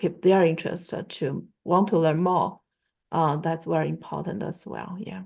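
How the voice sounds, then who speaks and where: The speaker has a Chinese accent, vocal fry and fairly even intonation. The pace is fairly slow, over a quiet background. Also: woman. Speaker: Chinese language teacher. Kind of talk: online class discussion. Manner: halting, many fillers.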